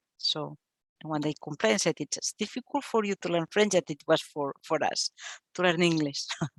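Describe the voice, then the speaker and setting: A woman's fairly low voice with a non-native accent and lively intonation, in a dry, close sound with no echo. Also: moderate pace. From Catalonia, Spain. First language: Catalan. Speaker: archivist. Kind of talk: Q&A after a talk. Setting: library event with live audience. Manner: halting.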